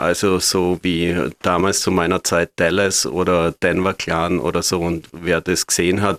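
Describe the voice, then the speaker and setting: Recorded very cleanly against a silent background, a man's very deep, low voice comes through in a flat monotone, with a dry, close sound and no echo. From Austria, Graz. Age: 50s. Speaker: hairdresser. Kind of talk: interview.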